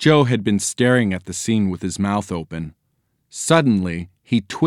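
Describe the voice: The voice reads plainly aloud with lively intonation over a quiet background.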